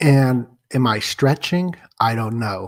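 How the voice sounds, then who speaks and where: A man speaks quietly. The sound is dry and close, with no echo. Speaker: livestream conspiracy-theory host. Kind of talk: live stream monologue. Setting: apartment at night, live stream. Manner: keeping voice down, trying to be quieter.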